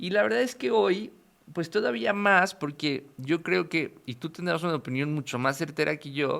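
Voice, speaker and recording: Very wide pitch swings mark this voice with a Mexican accent. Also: man, fairly high pitch for a man, moderate pace. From Mexico. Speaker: podcast host. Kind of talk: interview.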